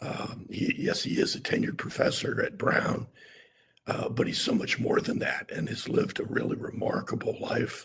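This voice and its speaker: Someone whispers at a moderate pace. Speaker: physician introducing grand rounds speaker. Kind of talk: formal introduction. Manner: halting.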